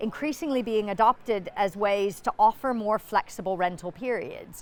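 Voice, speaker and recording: A woman talks in a normal speaking voice with an American accent. Her pitch is medium with ordinary variation, and her pace is moderate. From United States. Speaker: business executive. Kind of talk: conference interview. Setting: conference.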